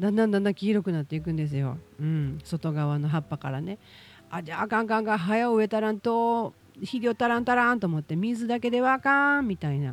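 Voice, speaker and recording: This woman's pitch swings very widely in a very clean recording with a silent background. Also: medium pitch for a woman, fairly quick pace. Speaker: podcast host. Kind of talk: casual monologue.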